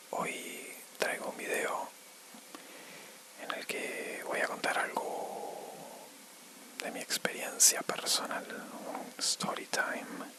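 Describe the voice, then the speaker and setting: A man whispering at a very slow pace, with long, frequent pauses and noticeable background noise. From Argentina. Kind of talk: ASMR storytime. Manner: whispered, soft-spoken.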